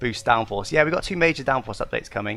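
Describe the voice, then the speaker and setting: Over music in the background, a man with an English accent speaks very fast in an enthusiastic tone. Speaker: gaming streamer. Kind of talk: live gameplay commentary.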